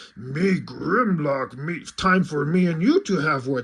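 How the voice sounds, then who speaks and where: A man's put-on character voice, fairly high in pitch and fairly slow in pace. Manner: dumb, stilted, third-person speech.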